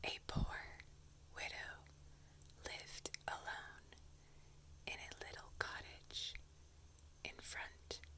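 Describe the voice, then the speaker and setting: The voice whispers at a very slow pace, with long, frequent pauses. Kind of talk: casual ASMR introduction to camera. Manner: soft-spoken, whispered.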